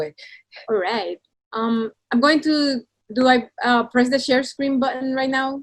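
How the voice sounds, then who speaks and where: A woman with a Spanish accent speaks at a very slow pace in a high pitch with ordinary variation, recorded with a dry, close sound and no echo. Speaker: illustrator. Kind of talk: presentation to students over video call. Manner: hesitant, repeats words.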